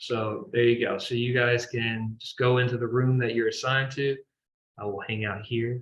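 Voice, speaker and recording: A man's somewhat breathy, medium-pitched voice at a moderate pace, with monotone, flat intonation. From US South, Kentucky small town. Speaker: professor. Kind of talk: online class kick-off meeting. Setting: video call. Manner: casual, filler-heavy.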